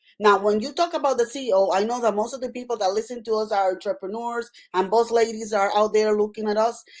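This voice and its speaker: Fairly high in pitch, this woman speaks with a Puerto Rican accent. Her pace is very fast. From Puerto Rico. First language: Spanish. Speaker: nurse practitioner and author. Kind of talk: interview. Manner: animated.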